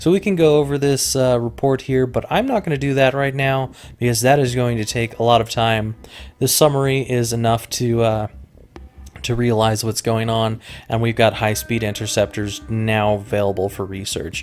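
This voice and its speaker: With an American accent, this is a plain, everyday voice at a moderate pace with ordinary pitch variation. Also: man, medium pitch for a man. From Colorado. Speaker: gaming YouTuber. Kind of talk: let's play commentary. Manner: casual, with frequent fillers.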